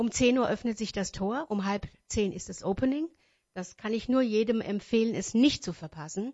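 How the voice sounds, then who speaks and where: At a moderate pace, a woman speaks in a fairly high, somewhat breathy voice with ordinary pitch variation. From Wächtersbach, Hesse, Germany. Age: 50s. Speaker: wedding singer and event organizer. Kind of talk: radio interview. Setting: radio studio. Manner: hesitant, many fillers.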